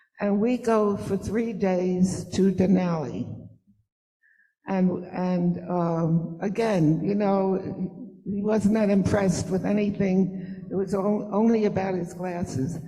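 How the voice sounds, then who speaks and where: Speaking very slowly, a woman uses a medium pitch and fairly even intonation. Her tone is dark, mellow and somewhat breathy, with audible room echo. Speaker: mother of the honoree. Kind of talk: storytelling at event.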